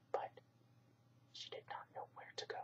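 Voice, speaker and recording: Whispered speech at a moderate pace. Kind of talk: whispered bedtime story reading. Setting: home recording for relaxation channel.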